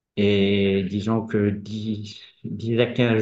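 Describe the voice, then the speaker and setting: A man speaks with a fairly low pitch. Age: 50s. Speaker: patient. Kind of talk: testimony.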